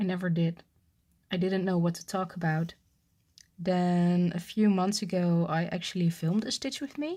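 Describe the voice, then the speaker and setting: A woman with a non-native accent speaks at a moderate pace, her fairly low voice somewhat breathy with ordinary pitch variation. The recording is very clean, with a silent background. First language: not English. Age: 30s. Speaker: cross-stitch vlogger. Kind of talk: casual chat. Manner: halting.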